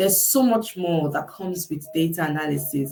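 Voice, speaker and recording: The speaker is a woman with lively intonation. She talks at a moderate pace. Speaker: career coach. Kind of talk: livestream interview. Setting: live video stream. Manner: loud.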